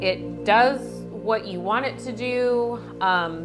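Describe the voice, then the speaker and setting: A woman's voice over clear music in the background. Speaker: home cooking channel host. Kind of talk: product review tutorial. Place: kitchen.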